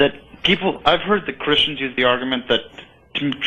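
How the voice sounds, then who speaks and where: At a fairly quick pace, a man speaks at medium pitch with ordinary pitch variation. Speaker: caller. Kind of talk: phone call-in question. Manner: talkative, rambling.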